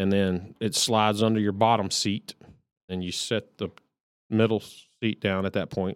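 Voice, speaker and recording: A man with a Texan accent speaks at a moderate pace in a fairly low, monotone, flat voice with long, frequent pauses. The sound is dry and close with no echo, on a very clean recording with a silent background. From Texas. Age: 40s. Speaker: podcast co-host. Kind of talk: casual chat.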